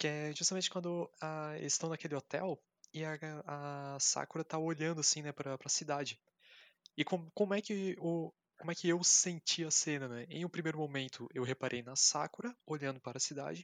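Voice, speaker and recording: In a Brazilian accent, a man speaks at a fairly high pitch and moderate pace with ordinary pitch variation, captured in a very clean recording with a silent background and a dry, close sound with no echo. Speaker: podcast guest discussing films. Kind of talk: casual chat.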